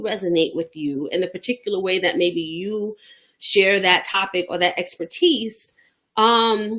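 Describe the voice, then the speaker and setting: A woman with a Bronx accent speaks at a moderate pace. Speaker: business coach. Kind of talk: motivational business tip talk to camera. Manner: casual, conversational.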